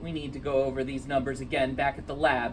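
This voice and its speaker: A man's put-on character voice at a very fast pace, with big swings in loudness and clear background noise. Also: medium pitch for a man. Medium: read story. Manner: authoritative.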